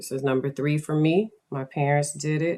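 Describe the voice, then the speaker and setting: A woman's dark, mellow voice at a moderate pace, with fairly even intonation. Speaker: podcast host. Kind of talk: casual chat. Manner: monotone; low-energy.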